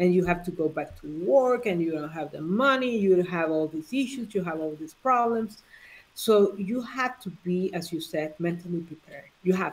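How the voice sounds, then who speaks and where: Speaking at a moderate pace with a Honduran accent, a woman has a medium pitch, lively intonation and big swings in loudness. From Honduras. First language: Spanish. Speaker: life coach. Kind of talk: live interview chat. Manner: halting.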